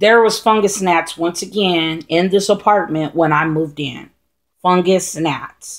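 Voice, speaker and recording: A woman with a plain, everyday voice speaks at a medium pitch and a fairly slow pace, with ordinary pitch variation. The recording is very clean with a silent background. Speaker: houseplant vlogger. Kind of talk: casual tutorial vlog. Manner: rambling with many fillers.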